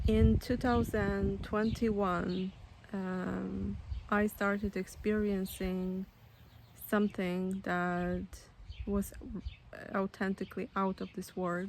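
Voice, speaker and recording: A woman with a Polish accent speaks at a very slow pace, with long, frequent pauses. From Poland. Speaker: spiritual storyteller, author. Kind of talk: personal testimony. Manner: halting, many fillers.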